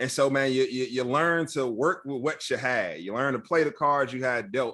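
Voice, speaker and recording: Recorded very cleanly against a silent background, a man with an American accent speaks at a moderate pace. His fairly high voice has a bright, sharp tone and ordinary pitch variation. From Chicago, South Side (Roseland). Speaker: tech training nonprofit CEO. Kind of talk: interview conversation. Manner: casual, repetitive filler words.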